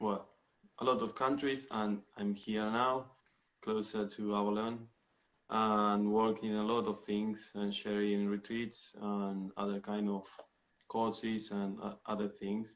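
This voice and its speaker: A man with a Spanish accent speaks very slowly in a fairly low pitch, his intonation monotone and flat. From Argentina. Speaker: spiritual retreat leader. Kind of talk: interview. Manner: halting.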